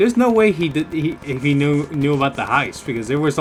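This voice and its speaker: Speaking at a fairly quick pace, a man uses a fairly high pitch that swings very widely. Noticeable background noise is present. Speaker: gaming YouTuber. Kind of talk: gameplay commentary. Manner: fast; casual.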